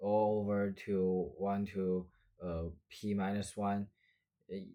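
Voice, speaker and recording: Against a very clean recording with a silent background, a man speaks in a monotone, flat intonation at a fairly low pitch with a dark, mellow tone. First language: not English. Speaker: math tutor. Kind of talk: math lesson walkthrough. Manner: hesitant, many fillers.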